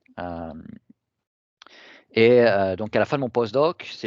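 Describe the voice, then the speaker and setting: A man talks very slowly over a quiet background. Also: dry, close sound with no echo. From southern France, Toulon area. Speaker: professor, researcher. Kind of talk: academic talk. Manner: halting, many fillers.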